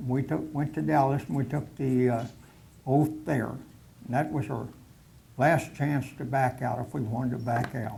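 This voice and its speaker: In an American accent, a man with a medium pitch and a dark, mellow tone speaks at a moderate pace, somewhat breathy, with ordinary pitch variation, long, frequent pauses and audible room echo. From Oklahoma, US. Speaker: war veteran. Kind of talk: personal war reminiscence talk to a society meeting. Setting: meeting hall with audience. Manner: halting, many fillers.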